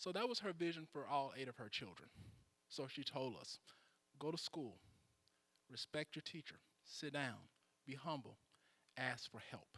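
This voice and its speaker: A man with an American accent, fairly high pitch and lively intonation, bright, sharp tone, moderate pace, dry, close sound with no echo. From US South, Mississippi. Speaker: political candidate. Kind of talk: candidate speech. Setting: church hall with audience.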